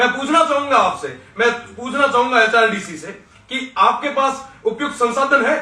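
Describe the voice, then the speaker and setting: A man's raised, projected voice at an extremely high pitch, with ordinary pitch variation over noticeable background noise. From western Rajasthan, Barmer district. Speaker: student leader. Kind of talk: political speech. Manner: impassioned.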